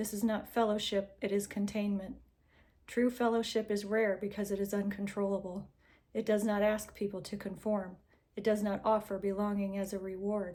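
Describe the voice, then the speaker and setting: A soft-spoken woman with a dark, mellow tone and flat, monotone intonation. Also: medium pitch for a woman, moderate pace. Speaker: narrator reading texts aloud. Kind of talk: reading aloud; casual intro. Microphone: recording without usual AirPods, unsure of audio.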